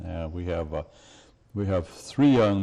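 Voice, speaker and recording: The man's tone is dark and mellow. He keeps a moderate pace. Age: 70s. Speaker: college basketball coach. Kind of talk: TV interview. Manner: halting, many fillers.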